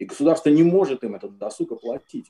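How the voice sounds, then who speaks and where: In a quiet background, a man speaks at a moderate pace with a dark, mellow tone. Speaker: composer. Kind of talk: online panel discussion. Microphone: video call.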